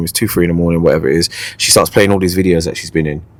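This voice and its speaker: In a London accent, a man talks very fast with a very deep, low pitch and an animated tone. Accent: London Multicultural English. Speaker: podcast host, MC. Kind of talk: casual chat, comedic storytelling.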